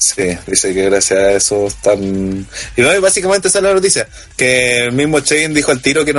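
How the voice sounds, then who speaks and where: Against noticeable background noise, a man with a Chilean accent speaks at a medium pitch. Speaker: wrestling podcast panelist. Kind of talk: casual chat. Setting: online voice call.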